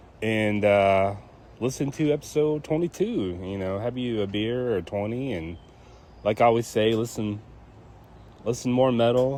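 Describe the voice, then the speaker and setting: Lively intonation plays over a dark, mellow tone. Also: man. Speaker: podcast host. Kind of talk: casual chat. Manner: halting with fillers.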